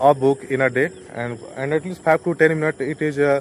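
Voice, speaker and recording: A man talks with an Indian accent. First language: Hindi. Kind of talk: casual talk to camera. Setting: outdoors. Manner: hesitant, many fillers.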